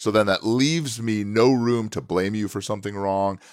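Over a silent background in a very clean recording, a man with an American accent talks at a moderate pace in an ordinary speaking voice, his pitch fairly low. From upstate New York. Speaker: marketing entrepreneur and business coach. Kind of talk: casual interview. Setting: hotel room.

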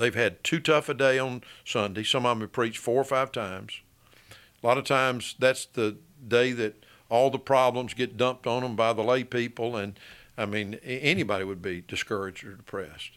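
With an Alabama accent, a man talks at a fairly quick pace in a medium pitch with ordinary pitch variation, on a very clean recording with a silent background. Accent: Southern US (Alabama). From Birmingham, Alabama (US South). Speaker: attorney. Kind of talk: interview.

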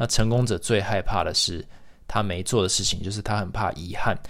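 A man speaks at a fairly quick pace in a fairly low voice. It is an ordinary speaking voice. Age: 30s. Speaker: podcast host. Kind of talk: solo monologue podcast.

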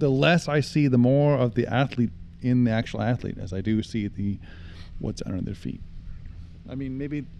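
A man with an American accent talks at a medium pitch and a moderate pace. His tone is dark and mellow, and he takes long, frequent pauses. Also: ordinary pitch variation. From Utah, US. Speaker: professional water skier. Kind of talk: interview. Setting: at a lakeside tournament.

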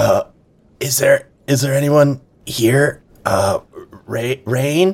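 A man puts on a raspy character voice with a fairly high pitch. He delivers it at a very slow pace. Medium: actual play. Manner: stammering, repeating himself.

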